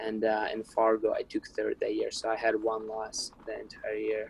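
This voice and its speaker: A man speaks with a Ukrainian accent. His pitch is medium and his pace is moderate. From Ukraine. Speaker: wrestler. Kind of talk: interview.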